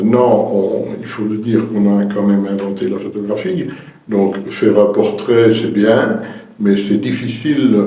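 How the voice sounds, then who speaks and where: A man's fairly low voice in a Liège accent, at a fairly slow pace with ordinary pitch variation, with audible room echo and noticeable background noise. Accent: Belgian French (Liège region). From Belgium, Verviers (Liège province). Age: 70s. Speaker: retired painter and painting teacher. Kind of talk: interview. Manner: hesitant, with fillers and repetitions.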